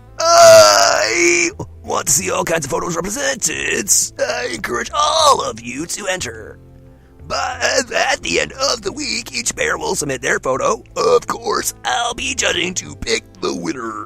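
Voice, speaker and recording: A woman's put-on character voice at a fairly slow pace, with faint music in the background. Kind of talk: comic put-on voice. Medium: game stream. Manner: teacherly, announcing.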